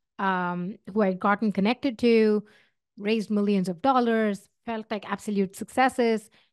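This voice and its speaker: Over a quiet background, a woman talks with an Indian accent and a fairly high voice. Her intonation is fairly even, and the sound is dry and close with no echo. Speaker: tech founder and podcast host. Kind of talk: casual advice talk. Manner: hesitant with fillers.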